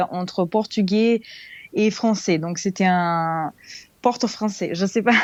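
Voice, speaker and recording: Recorded very cleanly against a silent background, a woman with a Serbian accent speaks at medium pitch with fairly even intonation and a dry, close sound with no echo. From Serbia, Belgrade. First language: Serbian (speaking French). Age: 20s. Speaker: expat interviewee. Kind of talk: podcast interview. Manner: halting, many hesitations.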